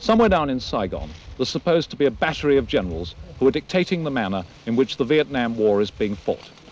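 A man talks at a very fast pace with very wide pitch swings. The sound is dry with no echo. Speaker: war correspondent. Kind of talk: news report piece to camera. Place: forest.

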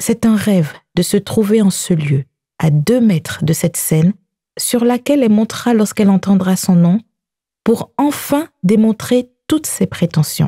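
Somewhat breathy, with a dark, mellow tone, a woman speaks at a medium pitch and a fairly slow pace. Her intonation is lively, and the sound is dry and close with no echo. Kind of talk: audiobook narration. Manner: measured, narrative, slow-paced.

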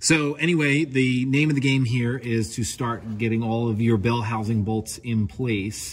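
A man with a somewhat breathy voice speaks at a moderate speed, his pitch varying in an ordinary way. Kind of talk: tutorial. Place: garage. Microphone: phone near.

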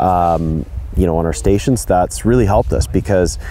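This man's voice sits at a very deep, low pitch, and the sound is dry with no echo. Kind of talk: interview answer. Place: open country.

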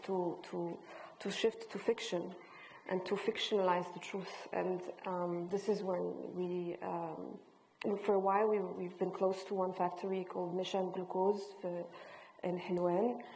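The voice has monotone, flat intonation at a fairly slow pace. Long pauses come often. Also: woman. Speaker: visual artist and filmmaker; panelist. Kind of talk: panel discussion. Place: hall.

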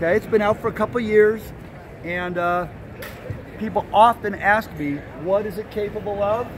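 Over faint background noise, a man with a high pitch talks at a moderate pace with ordinary pitch variation.

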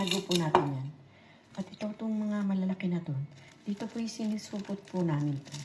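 A woman's medium-pitched voice with lively intonation at a moderate pace, amid noticeable background noise. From Philippines. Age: 60s. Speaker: vlogger. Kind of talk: casual vlog show-and-tell. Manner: repetitive filler-heavy.

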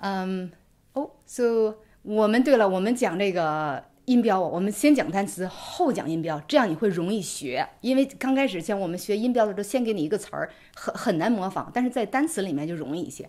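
A woman's dark, mellow tone with lively intonation at a fairly quick pace, against a quiet background. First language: Mandarin Chinese. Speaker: English pronunciation teacher; co-host teacher. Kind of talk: tutorial. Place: home room.

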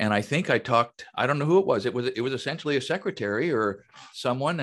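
Very wide pitch swings from a man at a fairly quick pace. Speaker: podcast co-host and woodworker. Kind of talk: casual interview. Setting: video call. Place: home room. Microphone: video call.

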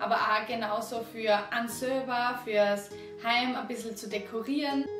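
Clear music plays behind a woman with an Austrian accent who speaks slowly-ish at a fairly slow pace, her fairly high pitch showing ordinary variation. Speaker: acrylic painting teacher. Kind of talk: painting tutorial talk to camera. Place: home room.

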